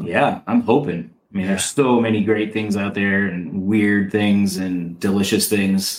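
A man with fairly low pitch speaks in a normal speaking voice, keeping a moderate pace and fairly even intonation. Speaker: mushroom enthusiast. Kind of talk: casual chat.

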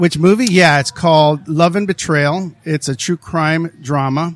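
In a normal speaking voice, a man talks at a fairly slow pace with a fairly high pitch and ordinary pitch variation, captured with a dry, close sound and no echo. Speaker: podcast host and actor. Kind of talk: casual interview.

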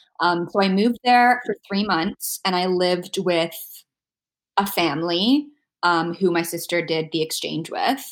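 A woman speaks in a normal speaking voice at a medium pitch. She goes fairly slowly, with ordinary pitch variation. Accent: Canadian. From Canada, Toronto. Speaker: podcast guest living with immune deficiency. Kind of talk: casual interview chat.

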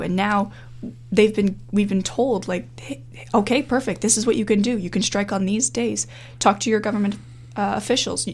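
A woman with a Canadian accent speaks at a moderate pace and a medium pitch, with vocal fry. Her pitch swings very widely. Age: 20s. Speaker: university student and climate activist. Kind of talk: interview.

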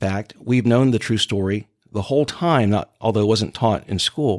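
An unremarkable speaking voice from a man with an American accent, medium pitch and lively intonation, at a moderate pace, with a dry, close sound and no echo. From Jacksonville, Florida (Mandarin). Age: 50s. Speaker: civil rights activist. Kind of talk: interview.

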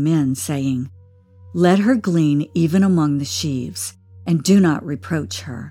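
Very wide pitch swings run through the speech, with music playing in the background. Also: woman. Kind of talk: scripture audiobook reading, steady and reverent narration. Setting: audiobook with background music. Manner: measured, formal, even-paced.

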